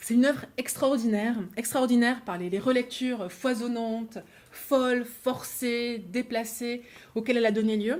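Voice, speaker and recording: A woman speaks in a high voice with fairly even intonation. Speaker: philosophy lecturer. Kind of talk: academic lecture. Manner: fast; hesitant, repeats words.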